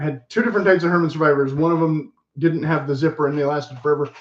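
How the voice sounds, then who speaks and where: Here a man speaks with a fairly high pitch. His intonation stays fairly even. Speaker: menswear style vlogger. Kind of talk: casual show and tell vlog. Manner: fast; casual, filler-heavy.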